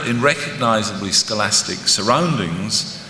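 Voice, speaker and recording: Speaking at a moderate pace in a Scottish accent, a man makes very wide pitch swings, with audible room echo and noticeable background noise. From Scotland. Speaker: professor. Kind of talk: conference lecture. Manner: formal.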